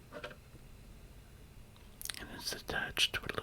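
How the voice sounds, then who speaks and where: A man whispers in a calm tone against noticeable background noise. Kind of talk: ASMR demonstration. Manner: calm, soft-spoken.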